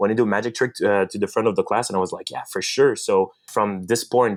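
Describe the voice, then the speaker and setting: A man with a strong French Canadian accent talks at a fairly quick pace in a fairly low pitch. The recording is very clean, with a silent background. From Quebec, French Canada. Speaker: magician and content creator. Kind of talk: podcast interview. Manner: halting, many fillers and restarts.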